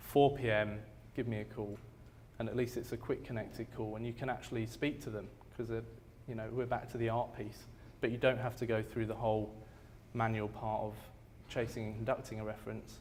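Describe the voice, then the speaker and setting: A man speaks fairly quickly in a monotone, flat voice with vocal fry. Long, frequent pauses break his speech, and the room echo is audible. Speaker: company sales representative presenting a product. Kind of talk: product presentation and Q&A. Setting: room with live audience.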